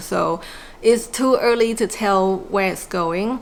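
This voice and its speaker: Fairly even intonation marks this speech, delivered with a non-native accent. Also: woman. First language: not English. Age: 40s. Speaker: small business owner and vlogger. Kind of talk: personal reflective vlog. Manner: casual with many fillers.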